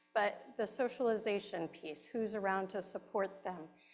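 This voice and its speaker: Over music in the background, a woman at medium pitch speaks at a moderate pace. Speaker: care management director. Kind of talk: presentation. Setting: hall with audience, also on video call.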